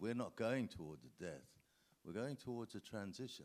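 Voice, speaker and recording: The pitch of this voice swings very widely. The speaker is a man. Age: 70s. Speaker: actor. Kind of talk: panel talk. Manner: halting.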